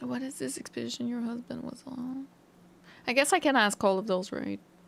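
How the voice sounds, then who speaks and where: At a fairly quick pace, a woman speaks in a playful tone with big swings in loudness. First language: French. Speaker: gaming streamer. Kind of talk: let's play commentary with reading dialogue aloud. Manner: casual, playful.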